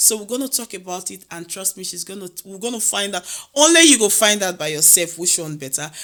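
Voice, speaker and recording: Over noticeable background noise, a woman with a Nigerian accent talks at a fairly quick pace and medium pitch with lively intonation. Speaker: podcast host. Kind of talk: casual interview chat.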